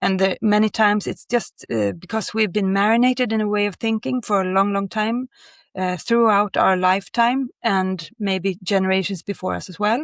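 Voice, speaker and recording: In a very clean recording with a silent background and a dry, close sound with no echo, a woman speaks at a medium pitch and moderate pace with a Swedish accent and ordinary pitch variation. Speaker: creative director of outdoor clothing brand. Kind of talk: interview. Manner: halting.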